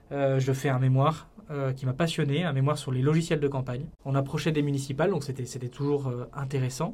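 Over noticeable background noise, a man with a fairly high voice talks at a fairly quick pace with fairly even intonation. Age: 30s. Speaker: political communication entrepreneur. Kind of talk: podcast interview. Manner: hesitant, with frequent fillers and repetitions.

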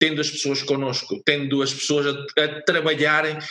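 At a moderate pace, a man with a European Portuguese accent speaks in a fairly high pitch. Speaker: former sports club director. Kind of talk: interview.

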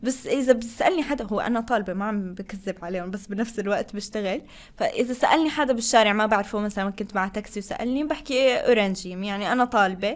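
The speaker is a woman with a fairly high pitch and ordinary pitch variation. It is an unremarkable speaking voice. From Tunisia, Tozeur; also lived in Qatar. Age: 20s. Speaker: international student office staff and graduate student. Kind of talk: interview conversation.

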